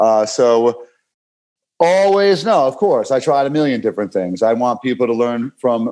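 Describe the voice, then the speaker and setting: Speaking with a New York accent, a man has a dark, mellow tone at a medium pitch, with lively intonation. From New York City (Brooklyn). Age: 40s. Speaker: fitness coach. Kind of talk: podcast interview. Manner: animated, repetitive stammering.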